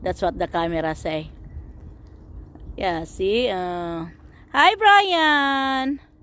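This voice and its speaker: The voice is loud and very slow, with long, frequent pauses. Its pitch swings very widely. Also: woman, medium pitch for a woman. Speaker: vlogger. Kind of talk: casual narration of home video. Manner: animated.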